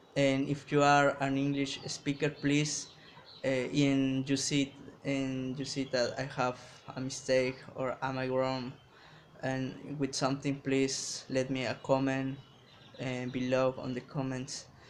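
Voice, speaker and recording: A man's flat, monotone delivery at medium pitch and a very slow pace. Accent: Mexican. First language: Spanish. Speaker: English learner vlogger. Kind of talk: casual vlog talk to camera. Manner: halting, many restarts.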